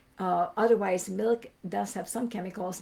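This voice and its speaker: Her voice is medium-pitched and somewhat breathy, a woman's dark, mellow tone. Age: 60s. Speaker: migraine educator answering group questions. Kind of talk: live Q&A stream. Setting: livestream. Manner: conversational, with many fillers.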